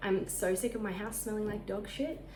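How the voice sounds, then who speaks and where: With an Australian accent, a woman speaks at a moderate pace in a fairly high pitch with ordinary pitch variation. Audible room echo and noticeable background noise are present. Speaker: lifestyle vlogger. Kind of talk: casual vlog talk. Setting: at home.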